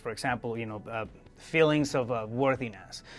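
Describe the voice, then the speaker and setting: A man with a non-native accent at a fairly quick pace, music in the background. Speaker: podcast host. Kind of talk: interview. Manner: halting, many fillers and repetitions.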